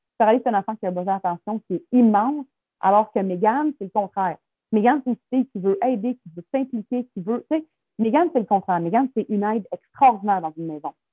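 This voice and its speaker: A woman with a Quebec accent speaks very fast in a fairly high voice with lively intonation. Her loudness swings a great deal. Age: 30s. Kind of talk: interview testimony.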